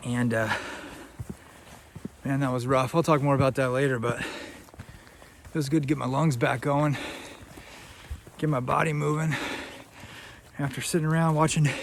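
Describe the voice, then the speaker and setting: Against noticeable background noise, a man with a fairly high pitch talks at a moderate pace with fairly even intonation. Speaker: hiking vlogger. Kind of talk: casual vlog. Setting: outdoors on a forest trail.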